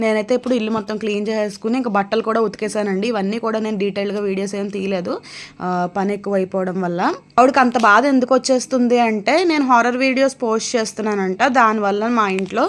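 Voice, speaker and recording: A woman's fairly high voice holds a fairly even intonation while background noise is clearly audible. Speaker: vlogger, mother. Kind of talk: casual vlog narration.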